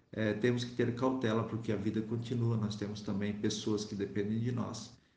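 Audible room echo carries a man's somewhat breathy voice. His intonation is monotone and flat. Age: 40s. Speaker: priest and motorcyclist. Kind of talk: interview testimony.

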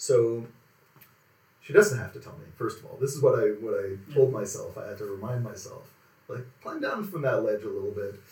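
Audible room echo follows a man as he talks at a fairly quick pace. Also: big swings in loudness. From Quebec, Montreal area. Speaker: automotive writer. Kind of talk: casual interview. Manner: calm.

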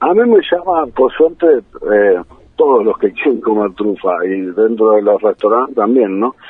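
A man with a normal speaking voice, at a fairly slow pace and medium pitch, with lively intonation. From Buenos Aires, Argentina (San Isidro). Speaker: truffle grower, entrepreneur. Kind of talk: radio interview.

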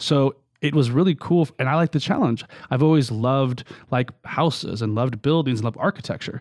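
A man speaks in a normal speaking voice, medium in pitch, with an American accent and ordinary pitch variation at a fairly quick pace. The sound is dry and close with no echo, on a very clean recording with a silent background. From US West Coast, California. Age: 40s. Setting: studio.

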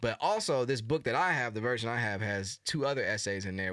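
Speaking at a fairly quick pace, a man uses lively intonation and a bright, sharp tone in a very clean recording with a silent background. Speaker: podcast co-host, musician. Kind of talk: casual chat. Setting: studio. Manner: upbeat, energetic.

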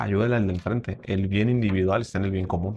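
A man with a Mexican accent speaks at a fairly quick pace. His voice is somewhat breathy. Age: 30s. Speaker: podcast host and speaker. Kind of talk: casual interview chat.

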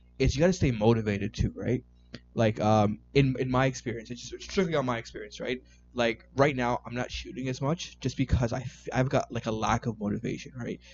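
With a Canadian accent, a man of medium pitch speaks at a fairly quick pace with ordinary pitch variation while music plays in the background. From Canada, Toronto. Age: 20s. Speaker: IT worker and amateur photographer. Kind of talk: casual chat.

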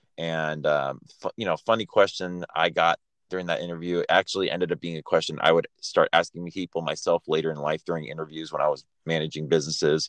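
In a Californian accent, a man speaks at a fairly quick pace. The background is quiet, and the sound is dry and close with no echo. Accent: Californian American English. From Los Angeles. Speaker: podcast co-host. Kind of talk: casual storytelling chat.

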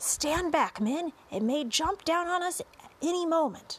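A woman's put-on character voice, extremely high in pitch and fairly bright in tone, with lively intonation at a fairly slow pace.

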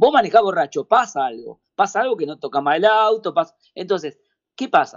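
Moving through very wide pitch swings, a man speaks at a moderate pace in a high voice. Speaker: president of a road safety NGO. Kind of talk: radio interview. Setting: phone call. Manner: halting, many repetitions.

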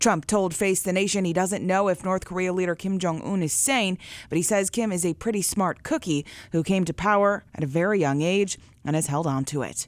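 A woman with an unremarkable speaking voice talks at a fairly quick pace and medium pitch, with ordinary pitch variation. Her loudness stays very even, and the recording is very clean with a silent background. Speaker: radio news anchor. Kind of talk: news reading. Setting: studio.

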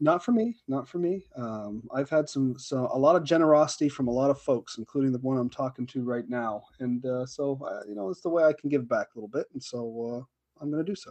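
An unremarkable speaking voice moves at a fairly quick pace with hardly any pauses and ordinary pitch variation, in a dry, close sound with no echo. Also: man, medium pitch for a man, big swings in loudness. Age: 40s. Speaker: wargaming podcast co-host. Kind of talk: casual chat.

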